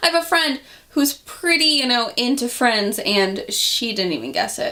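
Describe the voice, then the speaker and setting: A woman's raised, projected voice, high in pitch with very wide swings, over noticeable background noise. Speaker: vlogger. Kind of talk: casual vlog talk. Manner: animated.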